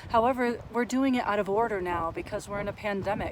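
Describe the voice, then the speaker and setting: There is noticeable background noise behind a woman's voice. Her pitch is medium and her intonation fairly even. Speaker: counselor and mindfulness vlogger. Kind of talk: monologue on mental health.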